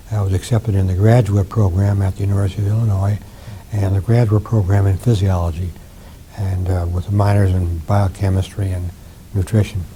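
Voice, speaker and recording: A monotone, flat delivery at a fairly quick pace over noticeable background noise. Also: man. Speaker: retired professor of ophthalmology and physiology, war veteran. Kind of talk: interview answer.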